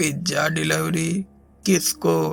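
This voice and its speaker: A man puts on a character voice with a fairly high pitch. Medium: read story. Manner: grave, serious.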